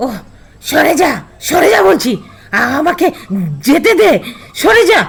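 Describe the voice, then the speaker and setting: This is a put-on character voice with a high pitch. The pitch swings very widely. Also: fairly slow pace. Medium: audio drama. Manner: harsh, commanding, scornful.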